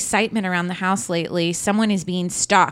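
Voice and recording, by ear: Reading aloud in a natural voice, the speaker keeps a fairly even intonation.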